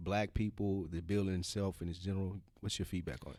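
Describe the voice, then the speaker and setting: A man with a very deep, low pitch, a dark, mellow tone and a Southern US accent, ordinary pitch variation, in a very clean recording with a silent background. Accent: Southern US (Georgia). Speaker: podcast co-host. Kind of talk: casual chat.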